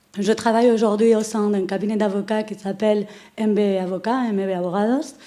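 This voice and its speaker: A woman with a Spanish accent speaks at a fairly quick pace with fairly even intonation. Her voice is fairly high, with a dark, mellow tone. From Spain. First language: Spanish (speaking French). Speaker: lawyer. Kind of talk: conference presentation. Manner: hesitant, many filler sounds.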